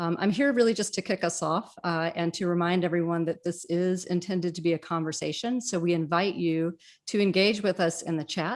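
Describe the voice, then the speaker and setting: At a fairly quick pace with hardly any pauses, a plain, everyday voice speaks over a quiet background. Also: woman, fairly low pitch for a woman, ordinary pitch variation. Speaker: innovation director at a college. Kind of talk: event host introduction.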